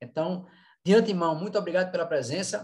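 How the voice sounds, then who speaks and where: Fairly quick talking by a man, with ordinary pitch variation. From Brazil, Recife (Pernambuco). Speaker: event organizer, course director of a professional society. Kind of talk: online panel moderation, casual introduction. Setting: video call / online live panel. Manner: hesitant, many fillers and repetitions.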